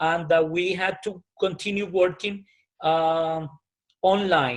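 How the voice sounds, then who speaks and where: A man with a Colombian accent speaks at a high pitch and a fairly slow pace. Music plays in the background. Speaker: private school principal. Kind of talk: interview answer.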